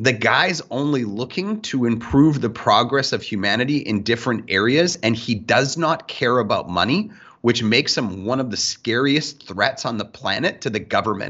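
A man speaks in an ordinary speaking voice. His pitch is medium and his intonation lively. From Canada. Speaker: sales podcast co-host. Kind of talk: casual chat.

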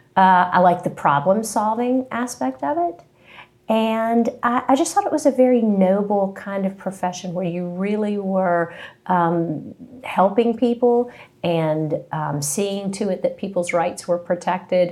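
This woman has an ordinary speaking voice at medium pitch. She talks at a fairly slow pace with lively intonation. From West Virginia (Princeton, southern tip). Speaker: employment attorney. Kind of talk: interview. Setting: in-person sit-down.

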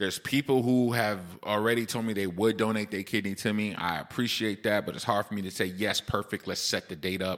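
Fairly low in pitch, a man talks at a fairly quick pace. His tone is animated. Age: 40s. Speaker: podcast host and dialysis patient. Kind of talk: casual solo podcast monologue.

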